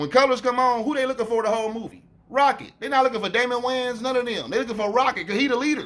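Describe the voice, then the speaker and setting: A man with an American accent speaks at an extremely high pitch. He talks at a very fast pace with ordinary pitch variation. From Cincinnati, Ohio, US Midwest. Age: 40s. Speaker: YouTuber, commentator. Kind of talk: casual monologue, commentary response.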